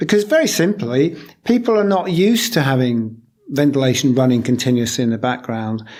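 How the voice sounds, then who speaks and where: Here a man speaks with a British accent. His pitch is medium and his pace moderate. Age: 60s. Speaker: low energy building consultant. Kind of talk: interview. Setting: office.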